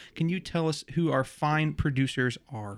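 Pitch varies in an ordinary way. The recording is very clean with a silent background. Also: man. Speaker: podcast co-host. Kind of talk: casual chat. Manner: soft-spoken.

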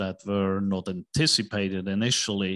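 Against a quiet background, a man speaks at a fairly slow pace. His pitch is fairly low, and his intonation fairly even. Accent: Swiss. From Switzerland. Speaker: investment banker and real estate investor. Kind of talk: casual interview.

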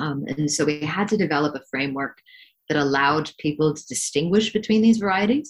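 A woman speaks at a very deep, low pitch and a fairly quick pace. Her intonation is lively, and her loudness swings widely. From Hong Kong. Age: young. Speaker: wine expert. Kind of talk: interview.

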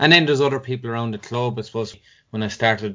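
A man speaks with a Tipperary accent. His intonation is fairly even. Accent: Irish (Tipperary). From Ireland, Cashel, County Tipperary. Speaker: former inter-county hurler and footballer. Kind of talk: podcast interview.

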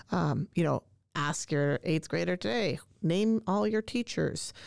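In a Canadian accent, a woman with a very deep, low pitch and vocal fry speaks at a moderate pace with very wide pitch swings, in a very clean recording with a silent background and a dry, close sound with no echo. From Canada. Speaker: language arts teacher. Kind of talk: casual interview chat. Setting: studio.

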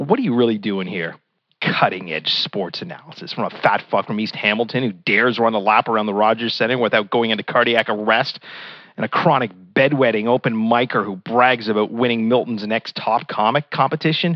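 In an ordinary speaking voice, a man talks at medium pitch and a fairly quick pace. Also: ordinary pitch variation. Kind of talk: comedy routine, character bit as a blustering sports-radio caller.

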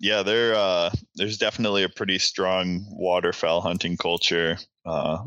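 Against a quiet background, a man with an American accent and a very deep, low pitch speaks at a moderate pace in a bright, sharp tone with fairly even intonation. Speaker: PhD student in wildlife ecology, waterfowl photographer. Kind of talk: casual interview chat.

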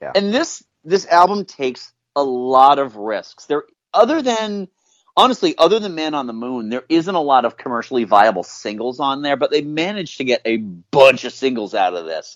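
A man's fairly high voice at a moderate pace, with very wide pitch swings and big swings in loudness. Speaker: podcast host. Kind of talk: casual chat.

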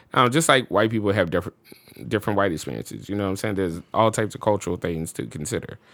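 A man with an American accent talks at a very fast pace with lively intonation. His voice sits at a fairly low pitch and has vocal fry. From US South, New Orleans. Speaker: musician and studio owner. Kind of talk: casual chat. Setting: studio.

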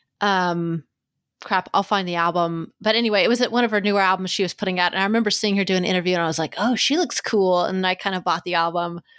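On a very clean recording with a silent background, the speaker talks at a very fast pace with very even loudness and fairly even intonation. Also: woman, medium pitch for a woman. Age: 30s. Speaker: podcast host. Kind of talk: casual chat.

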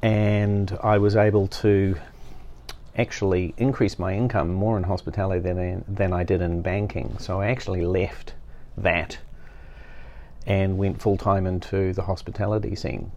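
Speaking at a moderate pace, a man with a New Zealand accent has a fairly low pitch, a dark, mellow tone and fairly even intonation. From New Zealand, West Auckland. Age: 50s. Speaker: master sommelier and wine educator. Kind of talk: interview conversation.

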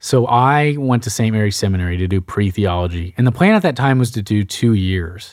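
On a very clean recording with a silent background, a man with an American accent talks at a fairly quick pace with hardly any pauses, in a fairly low pitch with ordinary pitch variation. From Texas, Sugar Land near Houston. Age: 20s. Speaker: transitional deacon. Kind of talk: casual interview.

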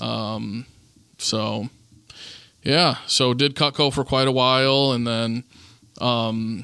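Medium-pitched man with a Midwestern American accent and a bright, sharp tone. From northern Indiana, Goshen. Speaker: real estate investor. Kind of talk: casual interview. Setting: in-person studio with camera.

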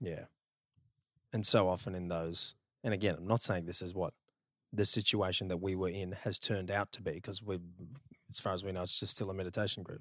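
In a very clean recording with a silent background, a man with an Australian accent and a very deep, low voice talks at a fairly quick pace in a bright, sharp tone, his intonation fairly even and his speech broken by long, frequent pauses. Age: 30s. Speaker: podcast host. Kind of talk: casual chat. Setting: apartment. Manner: relaxed.

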